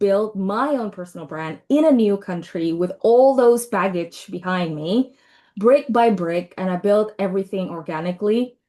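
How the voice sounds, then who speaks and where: At a fairly slow pace, a woman with a non-native accent talks at a medium pitch with ordinary pitch variation. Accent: non-native, self-described as weird. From Indonesia. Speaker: brand and marketing consultant. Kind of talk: webinar presentation. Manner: casual, conversational.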